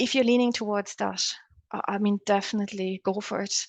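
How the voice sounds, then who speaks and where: Set against a quiet background, a woman with a German accent and a fairly high pitch talks at a moderate pace with fairly even intonation, the sound dry and close with no echo. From Germany. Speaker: academic researcher. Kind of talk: panel discussion. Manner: halting.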